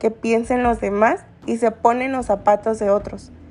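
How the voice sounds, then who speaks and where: Over music in the background, a woman speaks at a fairly high pitch and moderate pace with fairly even intonation. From Guerrero, Mexico (San Marcos, coast). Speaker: student podcaster. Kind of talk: personal essay monologue.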